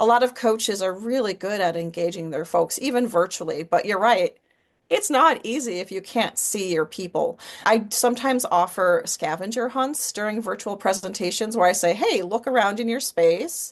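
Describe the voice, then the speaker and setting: Her pitch is fairly high, and this woman speaks with lively intonation at a moderate pace. She has a plain, everyday voice, heard against a quiet background. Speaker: public speaking coach. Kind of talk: interview conversation.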